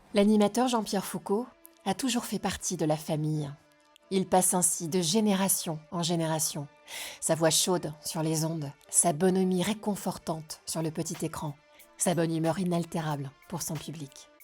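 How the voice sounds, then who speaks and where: At a moderate pace, a woman talks with ordinary pitch variation over music in the background. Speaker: talk show host. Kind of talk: documentary-style intro narration.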